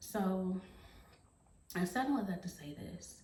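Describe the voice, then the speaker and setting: Amid noticeable background noise and audible room echo, a woman of medium pitch speaks at a fairly slow pace with ordinary pitch variation. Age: 40s. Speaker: beauty and fashion vlogger. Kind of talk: motivational monologue to camera. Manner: earnest, encouraging; hesitant with fillers.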